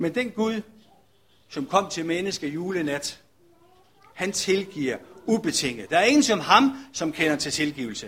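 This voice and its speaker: Pausing often and at length, a man with a high pitch for a man speaks at a fairly slow pace with very wide pitch swings. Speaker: pastor. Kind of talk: sermon.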